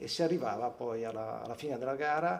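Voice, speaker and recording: Audible room echo surrounds a man's medium-pitched voice as he talks fairly quickly with fairly even intonation. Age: 50s. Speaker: former swimmer and water polo player. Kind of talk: interview testimony. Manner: hesitant, many fillers.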